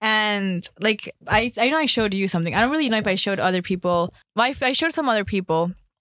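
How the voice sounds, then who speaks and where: Very fast, hardly-pausing speech in an American accent, lively intonation, very even loudness, and a very clean recording with a silent background. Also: woman, medium pitch for a woman. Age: 20s. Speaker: podcast co-host. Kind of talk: casual chat.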